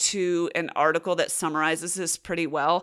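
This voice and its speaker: A woman's fairly low voice at a moderate pace. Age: 40s. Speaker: podcast host. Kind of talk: solo Q&A podcast. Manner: casual.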